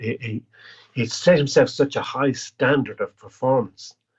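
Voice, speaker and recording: A man speaks with an Irish accent. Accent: Irish (Clare). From Ireland, County Clare. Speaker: singer-songwriter and chef. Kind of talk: casual interview.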